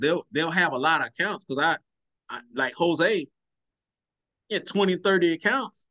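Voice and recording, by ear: Here a man talks at a moderate pace. His voice is fairly high, with a bright, sharp tone. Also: ordinary pitch variation.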